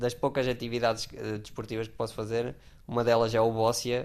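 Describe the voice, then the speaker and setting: Monotone, flat intonation at a moderate pace. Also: man. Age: 20s. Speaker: wheelchair user, former climber. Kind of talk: interview testimony. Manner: halting, repeats words.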